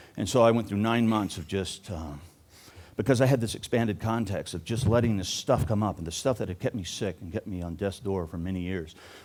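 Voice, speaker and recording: A man talks fairly quickly, with ordinary pitch variation and big swings in loudness. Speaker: recovery coach. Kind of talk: conference talk. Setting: live audience. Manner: fast, funny, warm.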